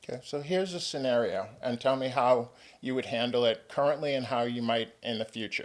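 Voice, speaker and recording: A man with a plain, everyday voice speaks at a medium pitch. He talks at a fairly quick pace with ordinary pitch variation. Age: 60s. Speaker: podcast host and tennis coach. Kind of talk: interview conversation.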